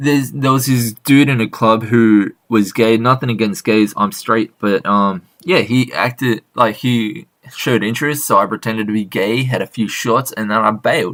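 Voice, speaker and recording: Speaking at a moderate pace with hardly any pauses, the man has a medium pitch and ordinary pitch variation. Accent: Australian. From Australia, Sydney. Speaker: interviewer. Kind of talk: casual chat.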